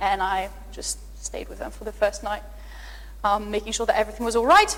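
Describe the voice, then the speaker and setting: A woman with a French accent talks at a fairly quick pace with big swings in loudness, over noticeable background noise. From France, near the Pyrenees. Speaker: astrophysicist. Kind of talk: public lecture Q&A. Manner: animated.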